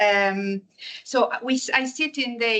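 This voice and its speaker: With a strong Italian accent, a woman speaks at a fairly high pitch in a bright, sharp tone. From Italy. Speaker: energy innovation manager. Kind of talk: lecture. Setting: seminar with audience. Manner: halting, with many fillers.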